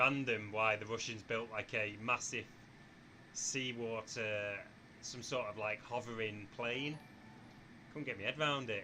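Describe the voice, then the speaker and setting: In a northern English accent, the speaker goes at a fairly slow pace with fairly even intonation and long, frequent pauses. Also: man, medium pitch for a man. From northwest England, near Manchester. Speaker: flight simulator streamer. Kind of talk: live stream chat. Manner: casual, chatty.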